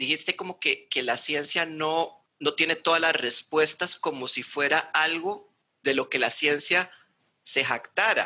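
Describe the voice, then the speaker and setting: Fairly slow, fairly high-pitched male speech, bright and sharp in tone, with fairly even intonation. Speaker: channel host and interviewer. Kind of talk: casual interview conversation. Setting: video call (Zoom), recorded remotely.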